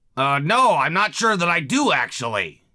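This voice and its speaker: A raspy, cartoonish character voice swings very widely in pitch. It moves at a moderate pace in a very clean recording with a silent background. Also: man, high pitch for a man. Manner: hesitant, stammering.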